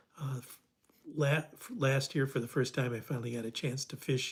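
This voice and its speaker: The voice is somewhat breathy. It has an American accent. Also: man. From US Midwest, Detroit. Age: 70s. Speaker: fly fishing instructor. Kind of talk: livestream Q&A, reading viewer comments. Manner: halting, many fillers and restarts.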